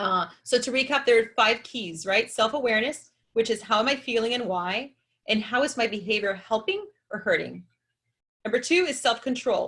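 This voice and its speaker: A woman with a fairly high pitch sounds animated, her tone bright and sharp, with ordinary pitch variation. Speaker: chiropractor and wellness speaker. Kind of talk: webinar presentation. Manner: fast.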